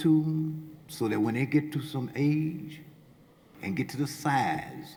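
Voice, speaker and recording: Pitched fairly high, a man speaks with fairly even intonation. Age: 60s. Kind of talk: public comment at community hearing. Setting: public hearing in a field house.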